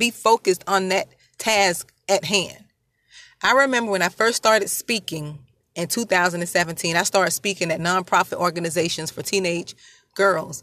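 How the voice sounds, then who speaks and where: A woman's bright, sharp tone at a moderate pace is captured dry and close with no echo, in a very clean recording with a silent background. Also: medium pitch for a woman, ordinary pitch variation. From rural area. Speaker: podcast host and motivational speaker. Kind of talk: motivational talk. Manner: repetitive, emphatic.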